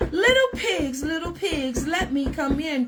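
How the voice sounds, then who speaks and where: Growling put-on character voice from a woman, high in pitch, at a fairly slow pace. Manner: growling, menacing.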